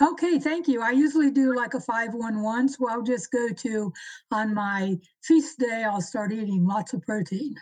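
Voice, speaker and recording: A woman with a plain, everyday voice and a fairly high pitch speaks at a moderate pace. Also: lively intonation. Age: 60s. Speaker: listener asking a question. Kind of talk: live Q&A.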